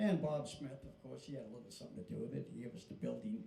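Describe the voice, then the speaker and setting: A man talks fairly quickly, and room echo is audible around his voice. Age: 80s+. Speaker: country band leader and show host. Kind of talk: casual stage banter at live show. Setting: live show with small audience.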